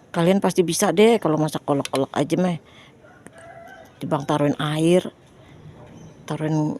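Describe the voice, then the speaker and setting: Pitch moves up and down in an ordinary way. There is noticeable noise in the background. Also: woman. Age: old. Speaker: cooking vlogger. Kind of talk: casual vlog chat. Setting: home kitchen. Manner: loud.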